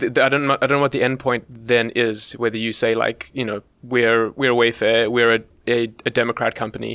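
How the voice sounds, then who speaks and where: In a very clean recording with a silent background, a man with a medium-pitched, bright, sharp voice speaks at a moderate pace in a flat monotone. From South Africa. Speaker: ESG analyst. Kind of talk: casual chat. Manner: halting, many fillers.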